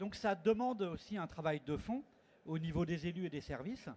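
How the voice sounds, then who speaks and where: Ordinary pitch variation from a male speaker, the pace fairly slow. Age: 60s. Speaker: conference panelist, network representative. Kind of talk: conference panel talk. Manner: hesitant, with many fillers.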